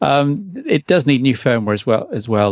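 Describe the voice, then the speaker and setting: A man with a British accent speaks with ordinary pitch variation in a dry, close recording with no echo. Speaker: podcast host. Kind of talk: casual chat.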